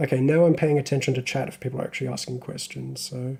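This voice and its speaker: This man's voice is somewhat breathy, with a medium pitch and a dark, mellow tone. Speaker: hobbyist live streamer. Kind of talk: live stream tutorial chat. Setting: live stream. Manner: casual, hesitant with fillers.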